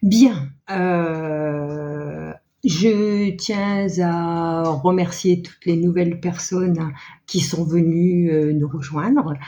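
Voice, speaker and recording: A woman with a dark, mellow tone and fairly low pitch speaks at a very slow pace, with audible room echo. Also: ordinary pitch variation. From northern France (Nord-Pas-de-Calais). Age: 60s. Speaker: knitting and sewing vlogger. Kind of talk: casual chat. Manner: halting, many hesitations.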